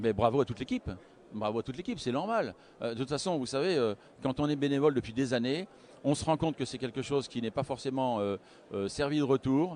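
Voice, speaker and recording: Talking at a very fast pace, a man with a medium pitch shows ordinary pitch variation. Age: 60s. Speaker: wealth management adviser. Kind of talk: interview. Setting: live broadcast at a conference. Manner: halting, many hesitations.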